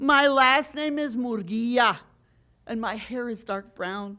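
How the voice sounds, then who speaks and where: With an American accent, a woman uses a raised, projected voice with a bright, sharp tone at a very slow pace, on a very clean recording with a silent background. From US, Mexican American. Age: 50s. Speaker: poet. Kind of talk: poetry reading.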